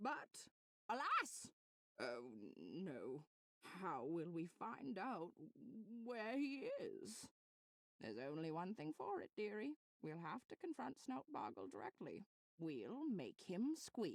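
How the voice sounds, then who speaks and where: Using a put-on character voice at a middle pitch, the speaker moves at a fairly slow pace with long, frequent pauses. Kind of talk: comic overacting. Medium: game stream. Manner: melodramatic, old-fashioned, says dearie.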